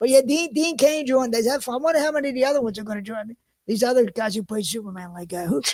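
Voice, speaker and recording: A man talks very fast in an extremely high pitch with a Philadelphia accent. His intonation is lively. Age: 50s. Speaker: podcast host. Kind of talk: casual chat. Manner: halting.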